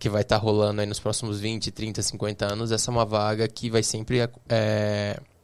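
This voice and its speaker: A man speaks at a moderate pace in a fairly low pitch, with monotone, flat intonation. The recording is very clean, with a silent background. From Brazil, interior of São Paulo state (Bauru). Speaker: tech entrepreneur. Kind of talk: podcast interview. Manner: hesitant, many fillers.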